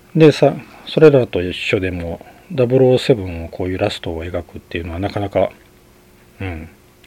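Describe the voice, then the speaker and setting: A man's relaxed voice at a moderate pace, with lively intonation, big swings in loudness and noticeable background noise. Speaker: podcast host, film reviewer. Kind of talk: solo monologue film review. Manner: relaxed, frequent fillers and laughs.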